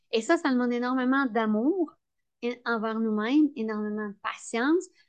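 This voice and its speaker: A woman speaks with a high pitch. Her pitch varies an ordinary amount. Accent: Quebec. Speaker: entrepreneur. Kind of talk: interview.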